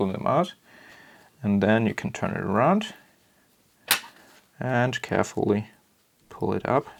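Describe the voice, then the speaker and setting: A man with a non-native accent, at a fairly slow pace broken by long, frequent pauses. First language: German. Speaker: camera modding tutorial maker. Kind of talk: tutorial. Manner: hesitant, many fillers.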